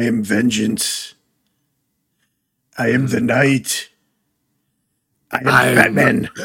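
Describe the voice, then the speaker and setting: Putting on a character voice, a man sounds gravelly and raspy as he talks at a very slow pace with long, frequent pauses. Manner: grim, intense.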